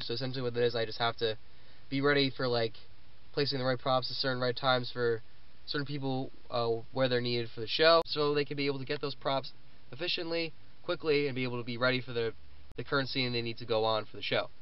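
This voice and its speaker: Fairly even intonation runs at a very fast pace. The sound is dry, with no echo. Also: man. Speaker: student vlogger. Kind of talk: casual vlog chat. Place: car. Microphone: phone near.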